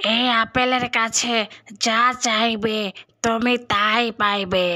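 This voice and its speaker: This cartoonish character voice sounds female and moves at a fairly slow pace with monotone, flat intonation. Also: fairly high pitch for a woman. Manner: reassuring, storyteller-like.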